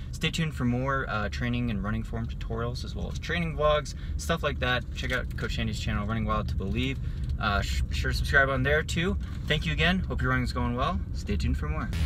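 A man with a very deep, low pitch talks at a fairly quick pace, using ordinary pitch variation. The sound is dry with no echo, though noticeable background noise comes through. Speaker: running vlogger. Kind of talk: casual vlog chat. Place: car. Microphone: phone near.

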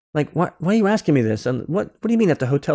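Intonation is lively as a man speaks. Behind him, all is quiet. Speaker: podcast guest. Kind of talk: interview answer. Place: home room. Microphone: video call.

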